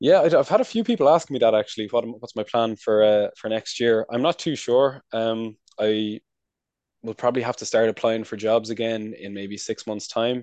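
Against a quiet background, a man with an American accent speaks at a medium pitch, with ordinary pitch variation and big swings in loudness. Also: moderate pace, dry, close sound with no echo. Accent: Irish with a slight American-sounding twang. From Ireland, County Wicklow. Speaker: recent graduate working in trade promotion abroad. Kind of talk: casual interview chat.

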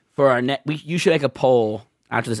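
A man's ordinary speaking voice at medium pitch, dry and close with no echo. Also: very clean recording, silent background. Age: 30s. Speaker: podcast co-host. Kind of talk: casual chat.

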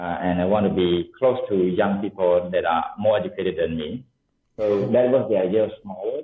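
With ordinary pitch variation, a man's fairly low voice proceeds at a moderate pace. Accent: Cambodian. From Cambodia. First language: Khmer. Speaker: tech entrepreneur. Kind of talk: interview. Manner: halting, many fillers.

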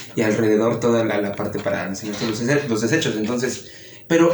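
A man's voice with ordinary pitch variation, audible room echo and music in the background. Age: young. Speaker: podcast host. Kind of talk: casual chat.

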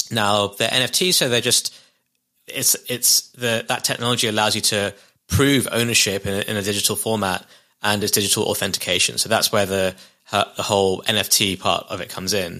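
A man talks at a fairly quick pace, his pitch fairly low and his intonation fairly even, with a bright, sharp tone. The recording is very clean, with a silent background. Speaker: NFT artist and founder. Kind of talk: casual interview chat.

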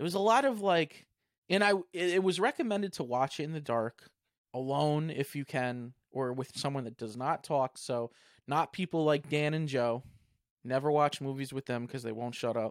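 A man speaks in a normal speaking voice at a moderate pace, his fairly high pitch moving with ordinary variation, in a dry, close sound with no echo and a very clean recording over a silent background. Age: 30s. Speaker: podcast host. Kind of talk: casual chat.

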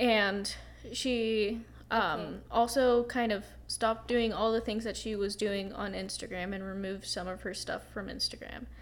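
Here a woman talks at a medium pitch and a moderate pace. Her intonation stays fairly even. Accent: American. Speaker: podcast co-host. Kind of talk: casual chat.

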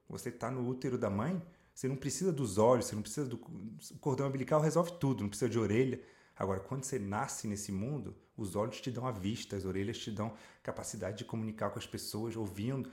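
Somewhat breathy, a man talks very fast at a medium pitch. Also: ordinary pitch variation. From France (Paris), Brazilian mother. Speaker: life coach and speaker. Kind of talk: casual interview chat.

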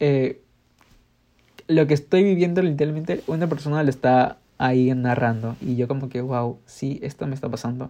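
At a moderate pace, a man speaks with a dark, mellow tone, his pitch fairly high and varying in an ordinary way. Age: 20s. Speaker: podcaster and architecture student. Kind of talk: casual monologue.

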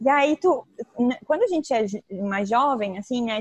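Her pitch varies in an ordinary way. The audio is dry and close, without echo. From southern Brazil (Tubarão, Santa Catarina). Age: 20s. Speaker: travel influencer and photographer. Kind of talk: casual interview.

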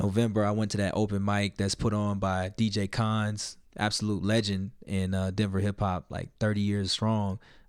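A man with an American accent speaks at a fairly low pitch and moderate pace, with hardly any pauses, in a monotone, flat intonation. The recording is very clean, with a silent background. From US South, Little Rock, Arkansas. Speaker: hip-hop artist and producer. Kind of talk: casual interview.

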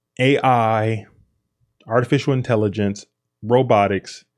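A man speaks in a normal speaking voice with a fairly low pitch and ordinary pitch variation, set against a quiet background. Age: 30s. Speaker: podcast host. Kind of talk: solo monologue.

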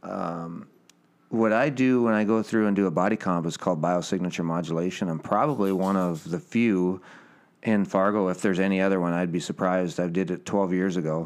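On a very clean recording with a silent background, a man speaks in a very deep, low voice with ordinary pitch variation. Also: fairly quick pace. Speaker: podcast co-host. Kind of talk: casual chat. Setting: in a house. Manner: animated.

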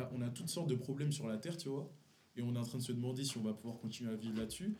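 A man's medium-pitched voice of dark, mellow tone and ordinary pitch variation, with audible room echo. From Paris region, Montfermeil (Seine-Saint-Denis). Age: 20s. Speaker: friend, small clothing brand founder. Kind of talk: casual chat.

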